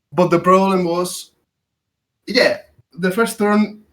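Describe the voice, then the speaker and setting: A man speaks in a Spanish accent with a high pitch. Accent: Spanish, noticeable. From Spain. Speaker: podcast guest, game player. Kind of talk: casual chat. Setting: voice chat. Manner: halting.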